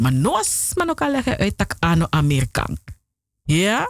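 A woman speaks in an animated tone at a moderate pace. Her pitch is very deep and low. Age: 40s. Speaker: radio host. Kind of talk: radio presenting.

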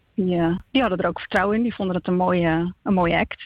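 This woman has a plain, everyday voice at a medium pitch, with ordinary pitch variation. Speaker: theatre maker. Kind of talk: interview. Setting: phone call.

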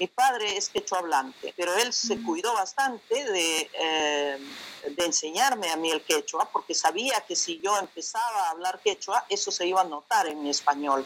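The speaker is a woman at a moderate pace. Her intonation is lively. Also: medium pitch for a woman. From Peru, Huancayo/Jauja (central Andes). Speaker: academic researcher. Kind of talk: interview. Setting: video call from home. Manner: halting, many fillers.

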